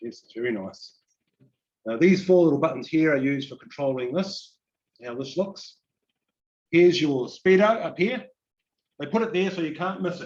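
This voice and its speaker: Lively intonation and big swings in loudness mark a man with a New Zealand accent who uses a fairly high pitch, a moderate pace, and long, frequent pauses. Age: 60s. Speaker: EV enthusiast guest speaker. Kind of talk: informal presentation to audience. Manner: casual, conversational.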